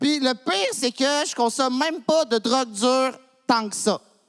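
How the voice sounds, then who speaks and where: At a fairly slow pace, a man talks with an extremely high pitch and ordinary pitch variation. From Quebec, Montreal. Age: 30s. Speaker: comedian. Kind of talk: stand-up. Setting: stage with audience.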